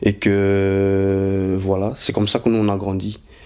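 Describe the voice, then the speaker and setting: The voice belongs to a man with a fairly low pitch. The recording is very clean, with a silent background. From Belgium, Brussels. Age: 20s. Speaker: convert telling his story. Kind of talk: testimony. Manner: halting, many hesitations.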